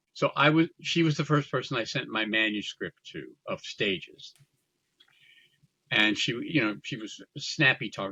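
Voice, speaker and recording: Recorded dry and close with no echo, a man with an American accent speaks in a bright, sharp tone with vocal fry, very wide pitch swings, and long, frequent pauses. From US Midwest. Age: 80s+. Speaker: theater producer and memoir author. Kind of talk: interview conversation.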